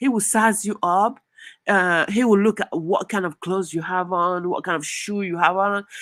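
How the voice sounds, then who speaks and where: A woman with a French accent speaks in an animated tone at a medium pitch and moderate pace on a very clean recording with a silent background. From southern Nigeria. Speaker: YouTuber. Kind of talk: live stream commentary. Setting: live stream. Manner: halting with fillers.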